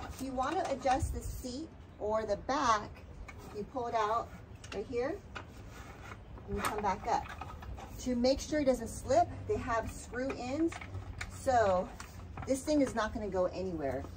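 A woman with a high voice speaks at a fairly slow pace, leaving long, frequent pauses over noticeable background noise. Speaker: product reviewer. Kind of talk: product demo tutorial. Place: garden. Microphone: camera far.

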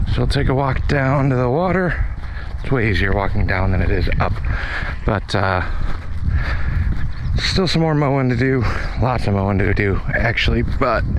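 Over noticeable background noise, a man speaks at a moderate pace with long, frequent pauses in a dry sound with no echo. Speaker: property owner hosting a party. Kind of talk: casual vlog chat. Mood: relaxed, upbeat. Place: open country. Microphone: phone near.

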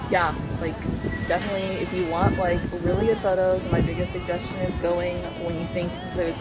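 Loud music plays behind a woman. She speaks at a moderate pace. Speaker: travel vlogger. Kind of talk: casual vlog chat. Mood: happy, relaxed. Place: boat. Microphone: phone near.

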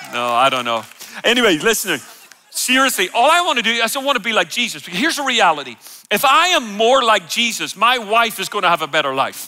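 In a raised, projected voice, a man with a high pitch races along at a very fast pace, making very wide pitch swings. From Ireland. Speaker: preacher. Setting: church stage, live audience. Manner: loud, energetic, jokey. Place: church.

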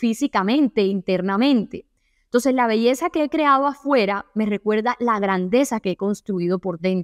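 A woman's fairly high voice with lively intonation at a moderate pace, in a dry, close sound with no echo. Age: 20s. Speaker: self-help podcaster. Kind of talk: solo podcast monologue. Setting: at home.

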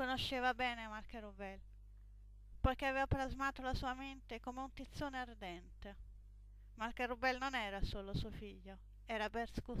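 A woman is speaking. Her pace is moderate. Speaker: storyteller reading own fantasy book. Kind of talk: dramatic narration of a fantasy myth, read aloud. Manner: solemn, intense, theatrical, with an epic, mythic pathos.

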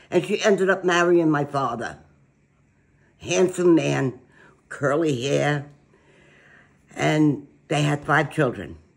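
In a New York accent, a woman speaks with a very deep, low pitch and vocal fry. Her pace is very slow with long, frequent pauses against a quiet background. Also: ordinary pitch variation. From Brooklyn, New York. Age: 80s+. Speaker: grandmother telling family history. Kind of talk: interview answer. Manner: feisty, blunt. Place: kitchen. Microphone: phone near.

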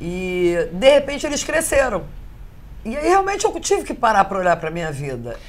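A woman with a fairly high pitch speaks at a fairly quick pace in an animated tone. Her pitch swings very widely and her loudness rises and falls sharply. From Rio de Janeiro, Brazil. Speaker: caterer; interviewee. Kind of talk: casual interview chat. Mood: candid, personal, reflective. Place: home room. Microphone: lapel.

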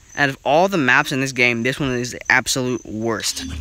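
Noticeable background noise sits behind a man talking at medium pitch and a moderate pace. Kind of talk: casual gameplay commentary. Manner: casual, excitable.

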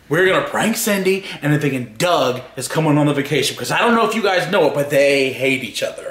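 With hardly any pauses, a man talks at a fairly quick pace, and audible room echo surrounds his voice. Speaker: vlogger. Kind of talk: casual vlog chat. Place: home room. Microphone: phone near.

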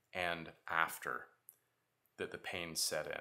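A man talks in a bright, sharp tone. The background is quiet. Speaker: parent vlogger. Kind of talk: casual vlog chat. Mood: serious, worried. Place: home room.

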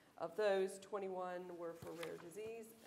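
A woman's voice with noticeable background noise. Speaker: economist and pharmaceutical industry executive. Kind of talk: panel discussion. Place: hall.

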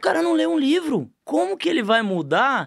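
A man speaks against a quiet background. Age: 40s. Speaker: business owner, franchise group founder; podcast guest. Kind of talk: podcast interview. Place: studio. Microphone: studio mic.

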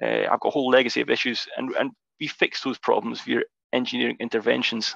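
A man talks at a very fast pace with a Scottish accent. The sound is dry with no echo, and the background is quiet. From Scotland. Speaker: geotechnical engineer; presenter. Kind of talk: webinar presentation. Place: home room. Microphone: video call.

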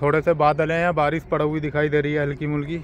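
A man with monotone, flat intonation, a dry sound with no echo and light background noise. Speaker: truck driver vlogger. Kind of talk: casual vlog chat. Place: open country.

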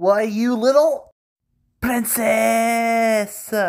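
A put-on character voice, female-sounding and fairly high in pitch, carries the clip. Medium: dub. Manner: exasperated, panicky.

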